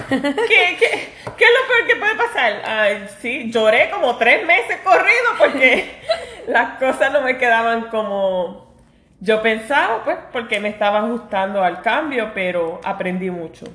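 A woman speaks at a fairly slow pace. She has an ordinary speaking voice. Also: fairly high pitch for a woman, lively intonation. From New York. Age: 40s. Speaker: podcast co-host, pastry cook. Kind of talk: casual chat. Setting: at home.

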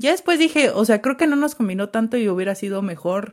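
The intonation is lively on a very clean recording with a silent background. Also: woman. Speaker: podcast host. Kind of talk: casual chat. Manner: soft-spoken most of the time.

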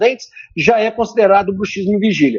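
The man speaks in an energetic tone. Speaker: dentist, orofacial pain specialist. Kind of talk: radio interview. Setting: phone call.

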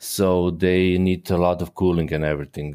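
A man with a Croatian accent and a very deep, low pitch speaks at a fairly slow pace. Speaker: HVAC technician. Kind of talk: interview. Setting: remote call. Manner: halting.

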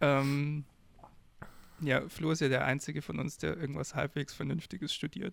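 Speaking at a moderate pace with long, frequent pauses, a man with a fairly high voice shows vocal fry and fairly even intonation. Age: 20s. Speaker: podcast co-host, student. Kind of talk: casual chat.

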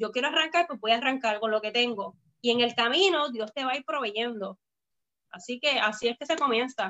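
Fairly quick, high-pitched speech from a woman. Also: ordinary pitch variation. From Puerto Rico, Bayamón. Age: young. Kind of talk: casual interview. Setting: live video stream.

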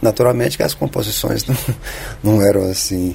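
The speech comes at a very fast pace with very wide pitch swings over noticeable background noise. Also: man. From Brasília, Brazil (born Minas Gerais). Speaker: singer-songwriter. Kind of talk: interview.

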